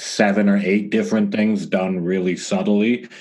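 Noticeable background noise fills the recording. Over it, a man speaks. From Canada, Toronto. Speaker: music producer and engineer. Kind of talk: interview. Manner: casual, relaxed.

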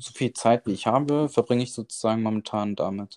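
The recording has a dry, close sound with no echo and a quiet background, carrying a man's dark, mellow tone at medium pitch with ordinary pitch variation. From Germany, Bonn. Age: 20s. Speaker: cooking content creator. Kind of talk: casual interview. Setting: remote call.

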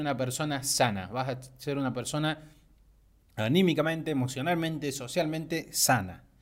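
A man's fairly high, unremarkable speaking voice at a fairly slow pace, on a very clean recording with a silent background. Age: 20s. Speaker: podcaster, animation student. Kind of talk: motivational monologue.

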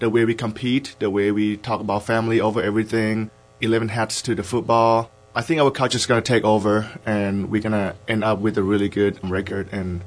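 A man's ordinary speaking voice with an American accent, fairly low in pitch, at a fairly quick pace, with fairly even intonation. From Idaho. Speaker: college football player. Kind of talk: interview.

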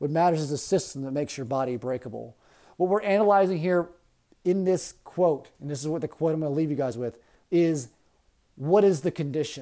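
A man with an American accent talks at a fairly quick pace in a fairly high pitch with ordinary variation and a dark, mellow tone, captured in a very clean recording with a silent background. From US, Baltimore County, Maryland. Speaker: teacher. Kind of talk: lecture.

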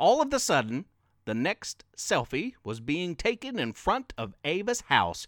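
The clip captures an unforced reading voice.

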